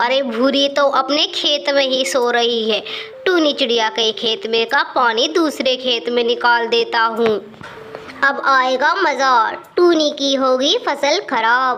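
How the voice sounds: A cartoonish character voice with a bright, sharp tone, ordinary pitch variation and a slow pace, over faint background noise. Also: woman, high pitch for a woman.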